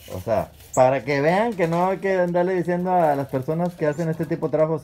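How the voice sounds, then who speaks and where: A man's fairly high voice with a dark, mellow tone at a moderate pace. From northern Mexico, Sabinas area; northern Mexico. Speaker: YouTube vlogger. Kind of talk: casual field interview; vlog direct-to-camera address. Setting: outdoors outside a house. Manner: animated.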